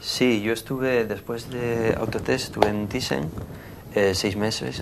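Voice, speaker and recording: A man's fairly low voice at a fairly slow pace, with ordinary pitch variation and audible room echo. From Asturias, Spain. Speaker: former factory worker and works council member, now artist. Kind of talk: TV interview. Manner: halting, many repetitions and fillers.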